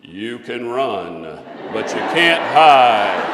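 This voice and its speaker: A man speaks at a medium pitch. He is doing a put-on character voice. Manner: playful, joking.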